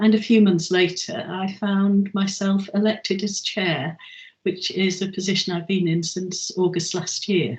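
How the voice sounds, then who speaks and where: Her voice somewhat breathy, a woman speaks at a fairly slow pace with fairly even intonation. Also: medium pitch for a woman. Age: 70s. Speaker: chair of a learning charity for older people. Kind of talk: interview. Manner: halting, with frequent ums.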